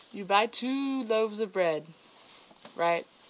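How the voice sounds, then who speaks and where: The woman's pitch varies in an ordinary way. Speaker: swimming instructor. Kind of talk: casual vlog talk to camera. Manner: rambling, chatty. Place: home room. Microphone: webcam.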